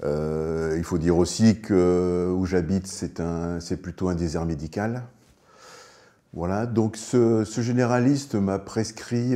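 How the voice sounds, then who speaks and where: A man speaks very slowly in a very deep, low pitch. His tone is dark and mellow, with ordinary pitch variation. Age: 60s. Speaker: lung cancer patient. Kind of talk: testimony. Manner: hesitant, many filler sounds.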